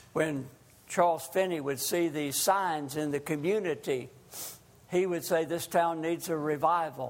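There is audible room echo on this recording. A man talks with a fairly high pitch and fairly even intonation. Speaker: lay preacher. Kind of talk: sermon. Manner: loud.

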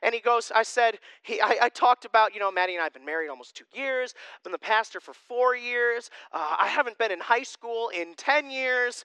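In a raised, projected voice with an extremely high pitch and a bright, sharp tone, a man talks at a fairly quick pace with lively intonation and big swings in loudness. The sound is dry and close, with no echo. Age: 20s. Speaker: pastor. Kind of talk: sermon. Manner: casual conversational.

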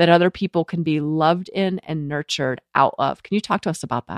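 A woman talks in an ordinary speaking voice with a fairly low pitch. The sound is dry and close with no echo, on a very clean recording with a silent background. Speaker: podcast host. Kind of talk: scripted intro mixed with casual interview.

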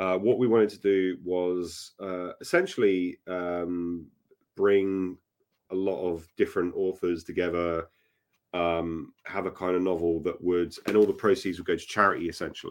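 His British accent comes through in a very deep, low pitch, a monotone, flat intonation and a moderate pace. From UK. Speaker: author. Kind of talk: casual interview chat. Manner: filler-heavy, hesitant.

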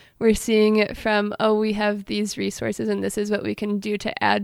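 Moderately paced speech from a woman, recorded very cleanly with a silent background. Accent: Midwestern US. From Michigan, Allen Park. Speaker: college student. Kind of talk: casual interview.

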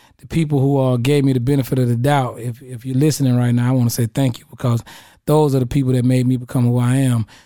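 A man's very fast speech at medium pitch, with an American accent, a dark, mellow tone and monotone, flat intonation. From Middle Georgia, US South. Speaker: radio personality. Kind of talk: casual chat.

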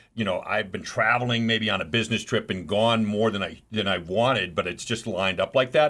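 This man has an ordinary speaking voice with an American accent, at medium pitch. He talks at a fairly quick pace with ordinary pitch variation. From New York City. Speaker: radio host.

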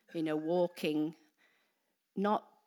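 The speaker has a Welsh accent and fairly even intonation. The recording is very clean, with a silent background. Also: woman. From Wales. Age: 50s. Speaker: preacher. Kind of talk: sermon. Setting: church.

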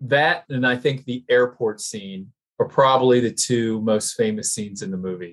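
A man with an unremarkable speaking voice talks at a moderate pace, with a medium pitch and ordinary pitch variation. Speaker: co-host. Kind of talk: casual banter, mock sports commentary.

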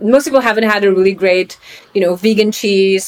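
Against noticeable background noise, a woman with a Polish accent speaks with fairly even intonation. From Poland, Krakow. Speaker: venture capital investor. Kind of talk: interview.

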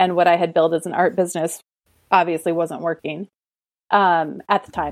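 A woman speaks in an Upper Midwest accent at medium pitch. The sound is dry and close with no echo, on a very clean recording with a silent background. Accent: Upper Midwest American. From rural Minnesota. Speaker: artist and business coach. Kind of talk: casual interview.

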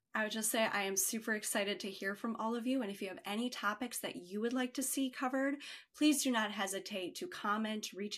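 A woman talks at a fairly quick pace in a bright, sharp tone with ordinary pitch variation. The recording is very clean, with a silent background. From Chicago. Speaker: sales and marketing director. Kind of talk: interview.

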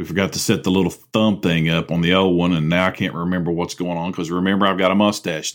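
A man speaks at a very fast pace with hardly any pauses. His pitch is very deep and low. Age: 40s. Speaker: podcast host. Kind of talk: comedic monologue. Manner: sarcastic; animated.

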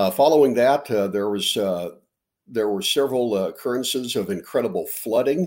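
With an American accent, a man speaks at a moderate pace and medium pitch with ordinary pitch variation, on a very clean recording with a silent background. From Nebraska. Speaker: agricultural meteorologist. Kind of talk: interview. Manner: halting, many fillers and repetitions.

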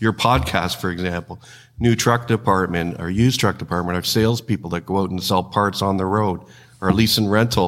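In a very clean recording with a silent background, a man with a Canadian accent speaks at a fairly quick pace. He has a normal speaking voice, fairly low in pitch, with fairly even intonation. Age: 60s. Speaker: trucking company executive, former mechanic. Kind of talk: interview.

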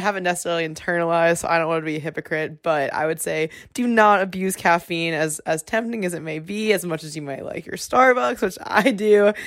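A woman's fairly low pitch and ordinary pitch variation, an ordinary speaking voice at a fairly quick pace. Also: very clean recording, silent background. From US South, South Carolina. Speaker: student podcast host. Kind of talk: casual chat.

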